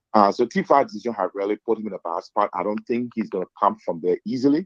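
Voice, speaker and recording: A man with a Liberian accent talks very fast at fairly low pitch with ordinary pitch variation. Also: dry, close sound with no echo. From Liberia, Lofa County. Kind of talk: casual political discussion.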